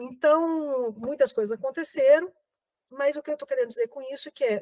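A woman speaks at a high pitch with very wide pitch swings. The sound is dry and close, with no echo. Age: 50s. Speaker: actress, writer and professor. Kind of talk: interview. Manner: hesitant, many filler words.

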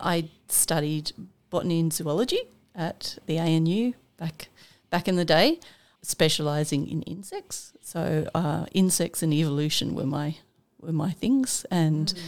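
The speaker has an Australian accent. Pitch varies in an ordinary way. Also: woman, fairly low pitch for a woman, fairly slow pace. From Armidale, New South Wales, Australia. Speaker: scientist and environment centre director. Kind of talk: casual interview chat. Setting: studio.

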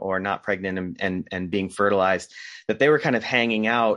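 A man speaks in a normal speaking voice with an American accent. His pitch is fairly low. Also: quiet background. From US Northeast, Rhode Island. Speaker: documentary filmmaker. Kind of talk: casual interview.

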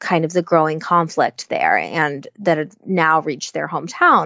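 In an American accent, a woman speaks at a fairly low pitch with monotone, flat intonation. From United States. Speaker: children's and YA novelist. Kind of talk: interview. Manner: hesitant, many fillers.

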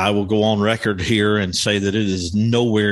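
Noticeable background noise behind speech of moderate pace. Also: man. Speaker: podcast host. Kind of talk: live support group meeting. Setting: live online meeting with home audio mixer. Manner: screen reader demo, walking through menus.

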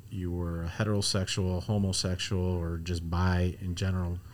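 With an American accent, a man speaks fairly slowly in a very deep, low voice and a flat, monotone delivery. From US Midwest, Chicago. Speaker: podcast host, ministry worker. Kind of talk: casual interview. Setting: studio. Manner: filler-heavy, halting.

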